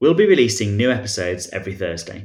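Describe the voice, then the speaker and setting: Talking at a very fast pace, a man with a fairly low, somewhat breathy voice shows ordinary pitch variation. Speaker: podcast host. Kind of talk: interview conversation.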